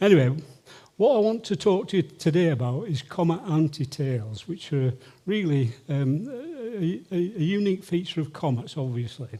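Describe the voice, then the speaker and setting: At a moderate pace, a man's high, dark, mellow voice swings very widely in pitch. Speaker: amateur astronomer, comet observer. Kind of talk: lecture. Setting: stage with audience.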